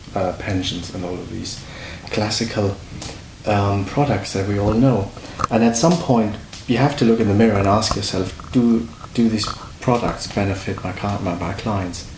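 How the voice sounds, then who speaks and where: With a German accent, the speaker talks at a moderate pace with ordinary pitch variation. Audible room echo and noticeable background noise are present. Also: man, fairly low pitch for a man. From Germany. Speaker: precious metals dealer. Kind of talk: interview. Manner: halting.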